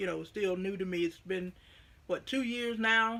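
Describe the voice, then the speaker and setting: At a moderate pace, a woman speaks with a bright, sharp tone. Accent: Southern US. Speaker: knitting vlogger. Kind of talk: casual vlog chat. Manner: animated.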